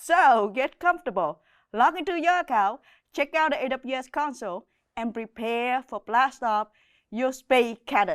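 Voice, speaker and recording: A woman's high voice with a Vietnamese accent, lively intonation and a moderate pace, in a dry, close sound with no echo. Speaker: cloud solutions architect, course instructor. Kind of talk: online course intro.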